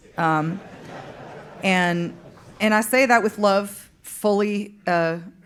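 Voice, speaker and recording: An American-accented woman speaks very slowly at a medium pitch, with very even loudness, fairly even intonation and audible room echo. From Fargo-Moorhead, upper Midwest US. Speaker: country singer-songwriter. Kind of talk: on-stage interview. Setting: stage with live audience. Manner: halting, many fillers.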